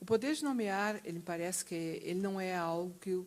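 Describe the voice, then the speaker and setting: Her voice sits fairly low for a woman, and she keeps a moderate pace. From southern Brazil, Rio Grande do Sul. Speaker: university professor. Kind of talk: panel discussion.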